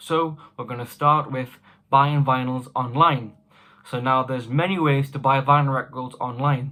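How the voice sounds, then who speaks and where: A man speaks with a British accent at a moderate pace. His pitch is medium, and his intonation stays fairly even. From United Kingdom. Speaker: record collector YouTuber. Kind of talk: casual vlog advice.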